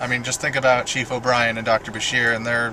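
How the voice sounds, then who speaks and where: A man's medium-pitched, monotone, flat voice at a fairly quick pace amid noticeable background noise. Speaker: video blogger. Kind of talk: casual monologue. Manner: halting.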